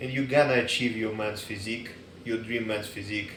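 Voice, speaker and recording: With a non-native accent, a man talks fairly quickly in a fairly low, monotone, flat voice amid noticeable background noise and audible room echo. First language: not English. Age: 30s. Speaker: dog trainer and fitness enthusiast. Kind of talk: casual advice monologue. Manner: casual, halting with fillers.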